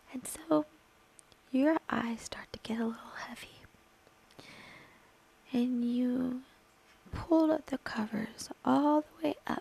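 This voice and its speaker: A woman's high voice at a very slow pace, with ordinary pitch variation, long and frequent pauses, and noticeable background noise. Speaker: ASMR creator / gaming streamer. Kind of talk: ASMR roleplay storytelling. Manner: soft, slow, intimate.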